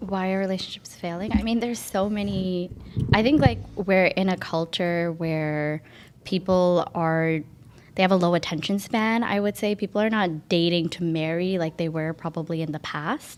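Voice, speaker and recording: In an ordinary speaking voice, a woman with a fairly low pitch talks at a moderate pace with ordinary pitch variation on a very clean recording with a silent background. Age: 20s. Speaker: mortgage agent. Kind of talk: casual chat.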